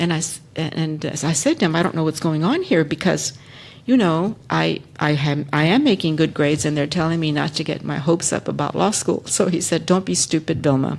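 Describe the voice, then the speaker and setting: The voice moves at a fairly quick pace, showing vocal fry and ordinary pitch variation. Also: woman, very deep, low pitch for a woman. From Texas. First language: Spanish. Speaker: civil rights lawyer. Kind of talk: panel discussion.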